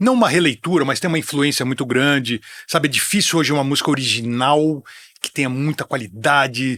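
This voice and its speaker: A bright, sharp tone with ordinary pitch variation on a very clean recording with a silent background. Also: man. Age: 60s. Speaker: music TV presenter and metal commentator. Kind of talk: casual chat.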